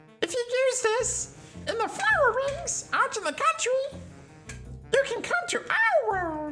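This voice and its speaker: A man does a put-on character voice that is squeaky and pitched extremely high, speaking at a fairly slow pace with long, frequent pauses over clear background music. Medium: game stream. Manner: shrill, bossy, whiny.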